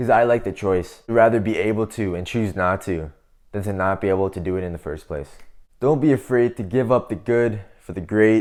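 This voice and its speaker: On a very clean recording with a silent background, a man with a fairly low voice speaks at a fairly quick pace in an animated tone, with ordinary pitch variation. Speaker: self-improvement youtuber. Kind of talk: casual advice monologue to camera. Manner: loud.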